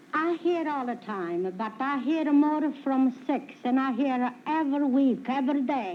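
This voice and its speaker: A woman speaks in a high voice with ordinary pitch variation, at a fairly slow pace with hardly any pauses, and room echo is audible. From Italy, Calabria. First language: Italian. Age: 70s. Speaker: retired midwife, quiz show contestant. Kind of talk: game show interview. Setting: stage with audience. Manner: halting broken English.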